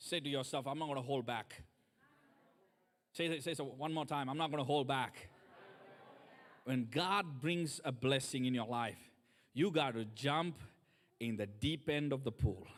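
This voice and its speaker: A man with a non-native accent speaks in an animated tone. His pitch is fairly high, and he leaves long, frequent pauses. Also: ordinary pitch variation, moderate pace. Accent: foreign. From third world country. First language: not English. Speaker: guest preacher. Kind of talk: sermon.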